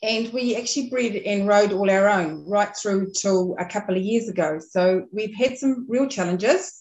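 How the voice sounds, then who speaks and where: With a New Zealand accent, a woman talks at a moderate pace with hardly any pauses. Her pitch is medium and varies in an ordinary way. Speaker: dressage rider and farmer. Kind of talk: casual chat.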